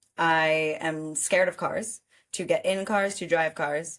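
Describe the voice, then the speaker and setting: A woman with a New York accent on a very clean recording with a silent background. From New York City, Manhattan. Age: 20s. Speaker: podcast co-host. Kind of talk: casual chat. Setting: studio.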